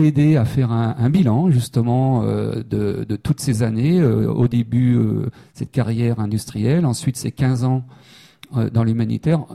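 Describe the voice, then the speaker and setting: A man's dark, mellow voice at a medium pitch, fairly slow in pace, with ordinary pitch variation. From Brittany, Saint-Brieuc. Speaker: humanitarian worker. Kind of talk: interview. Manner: halting, many repeated words.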